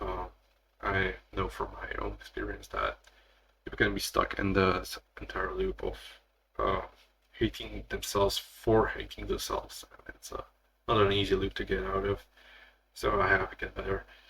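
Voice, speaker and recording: Speaking with a Slavic accent, a man leaves long, frequent pauses, and his loudness swings widely. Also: moderate pace. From Slavic country. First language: Slavic language. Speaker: content creator. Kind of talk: solo podcast monologue. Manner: halting.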